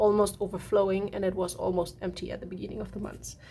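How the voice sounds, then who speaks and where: A woman with a German accent speaks over noticeable background noise. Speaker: art journaling creator. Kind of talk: casual tutorial walkthrough. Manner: relaxed, halting with fillers.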